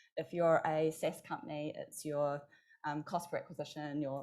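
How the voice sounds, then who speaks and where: A woman's fairly low, dark and mellow voice in a New Zealand accent, recorded very cleanly against a silent background. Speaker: marketing executive and agency founder. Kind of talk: conference panel discussion. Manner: fast.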